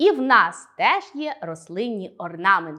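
On a very clean recording with a silent background, a woman speaks in an animated tone with very wide pitch swings. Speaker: school teacher. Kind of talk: lesson.

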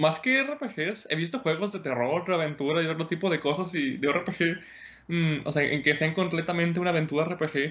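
A man with a Mexican accent talks at a moderate pace. His pitch is high, with ordinary pitch variation. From Mexico. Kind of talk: casual interview chat. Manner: halting, many repetitions.

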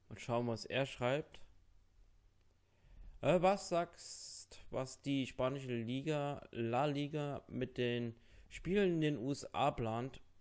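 Speaking at a slow pace, a man uses a medium pitch with ordinary pitch variation and a slightly mellow tone.

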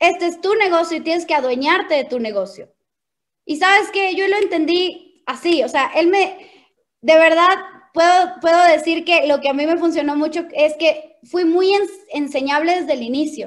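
Against a quiet background, a woman speaks at a moderate pace in an animated tone, her extremely high pitch showing ordinary pitch variation. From Ecuador, Quito; Ecuador. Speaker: network marketing leader; presenter. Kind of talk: motivational training talk. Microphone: video call.

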